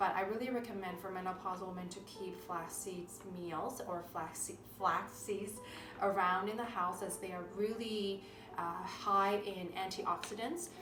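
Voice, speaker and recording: A woman of medium pitch speaks at a fairly slow pace with fairly even intonation, with audible room echo and noticeable background noise. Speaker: naturopathic doctor. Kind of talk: cooking tutorial. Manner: halting, frequent self-corrections.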